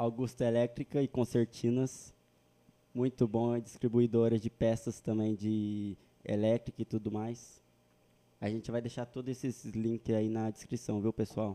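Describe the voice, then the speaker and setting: Fairly slow and in a flat monotone, a man speaks at a medium pitch with a dark, mellow tone, the sound dry and close with no echo over a quiet background. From interior of São Paulo state, Brazil. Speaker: podcast host. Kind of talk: casual chat.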